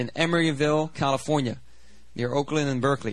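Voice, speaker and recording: This man's voice sits fairly high and sounds animated. His pitch varies in an ordinary way. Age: 30s. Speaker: pastor. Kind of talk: sermon. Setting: church.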